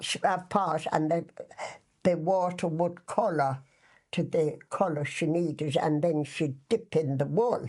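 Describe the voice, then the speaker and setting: A woman speaks in an Irish accent at a fairly slow pace. Her fairly low pitch shows ordinary variation. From west of Ireland. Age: 80s+. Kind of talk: casual reminiscing interview answer.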